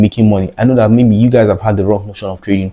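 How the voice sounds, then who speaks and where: This man talks at a very fast pace with a fairly low pitch. His intonation stays fairly even. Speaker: trading educator. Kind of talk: tutorial.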